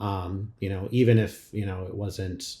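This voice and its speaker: Very deep and low, a man's somewhat breathy voice has a dark, mellow tone and monotone, flat intonation. The recording is very clean, with a silent background. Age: 40s. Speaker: podcast host. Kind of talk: casual chat.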